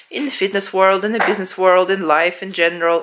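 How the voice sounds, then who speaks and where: A woman speaks with a Russian accent at a medium pitch and a fairly quick pace. Her intonation is monotone and flat, with noticeable background noise behind her. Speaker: fitness vlogger. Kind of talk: casual vlog talk to camera. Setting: at home lying on sofa.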